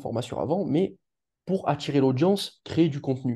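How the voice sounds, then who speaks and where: Over a quiet background, a man with a fairly high pitch, a dark, mellow tone and vocal fry speaks at a moderate pace with lively intonation. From Marseille, southern France. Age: 20s. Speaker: relationship coach. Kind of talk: interview testimony. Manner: halting, many fillers.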